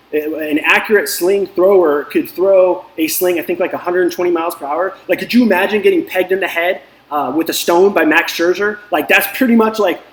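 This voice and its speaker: Over noticeable background noise, a man with a high pitch talks at a fairly quick pace with hardly any pauses. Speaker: DFS coach and video host. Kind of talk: casual motivational talk. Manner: fast; animated.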